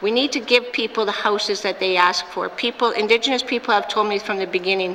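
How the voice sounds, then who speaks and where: A woman talks very fast at a fairly high pitch with fairly even intonation. Noticeable background noise runs underneath. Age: 60s. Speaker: premier, politician. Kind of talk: parliamentary debate answer. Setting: legislative assembly chamber.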